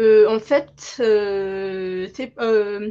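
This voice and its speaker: Her pitch fairly high, a woman speaks. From Madagascar. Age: 20s. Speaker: law student. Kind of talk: interview. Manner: halting.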